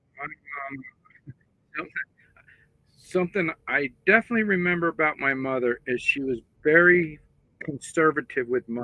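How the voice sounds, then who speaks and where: This man has an American accent and a fairly high pitch with ordinary pitch variation. He talks at a moderate pace, with long, frequent pauses. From US, Pennsylvania. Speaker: livestream participant. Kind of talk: personal reminiscence.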